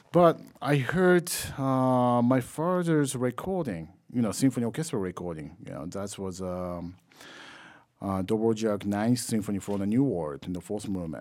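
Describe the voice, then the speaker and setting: A man with a Japanese accent, medium pitch and very wide pitch swings, at a moderate pace in a very clean recording with a silent background. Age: 30s. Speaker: trombonist. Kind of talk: interview. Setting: music festival.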